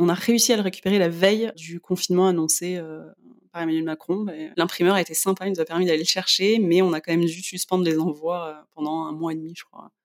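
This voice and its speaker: In an ordinary speaking voice, a woman talks at a fairly quick pace with fairly low pitch, fairly even intonation and big swings in loudness. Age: 30s. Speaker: magazine editor and blogger. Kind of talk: casual interview.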